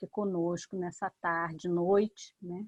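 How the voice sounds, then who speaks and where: Here is a woman with a plain, everyday voice. Her intonation is fairly even, and the sound is dry and close with no echo. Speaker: professor, event moderator. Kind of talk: formal seminar opening.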